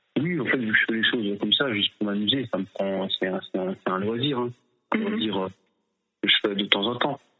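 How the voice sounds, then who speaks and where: Music plays behind a man speaking at a fairly slow pace. His pitch is fairly low, with ordinary variation. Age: 30s. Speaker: slam poet. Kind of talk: interview answers. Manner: halting.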